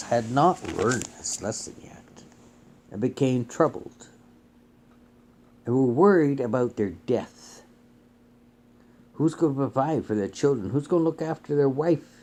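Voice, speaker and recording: A man's medium-pitched voice with a dark, mellow tone at a moderate pace. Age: 60s. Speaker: bible teacher. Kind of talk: sermon. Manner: casual.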